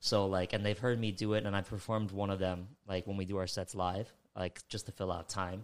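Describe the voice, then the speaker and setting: In a very clean recording with a silent background, a man speaks at a fairly quick pace with a New York accent. His very deep, low pitch stays monotone and flat. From New York, the Bronx. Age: 20s. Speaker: beatboxer. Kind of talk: casual chat. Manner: halting.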